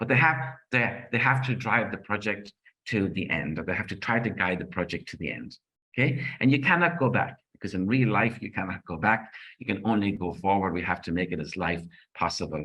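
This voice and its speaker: A man with an Irish accent speaks at a fairly quick pace in a fairly low, bright, sharp voice. His intonation is lively, and the background is quiet. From Ireland. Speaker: project management trainer and author. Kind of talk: conference presentation. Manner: fast; animated.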